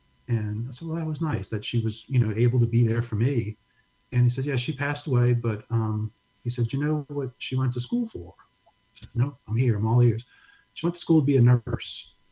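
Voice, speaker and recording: A somewhat breathy, dark and mellow voice with an American accent, at a fairly quick pace with ordinary pitch variation. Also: man, medium pitch for a man. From New Orleans, US South. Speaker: pastor and disaster relief ministry director. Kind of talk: casual interview, testimony. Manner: soft-spoken.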